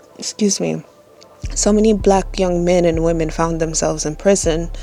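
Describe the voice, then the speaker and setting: A woman with a fairly low voice speaks at a moderate pace. Her intonation stays fairly even, with music in the background. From third world country. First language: not English. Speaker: spiritual content creator. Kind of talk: casual monologue on spirituality. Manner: hesitant with frequent fillers.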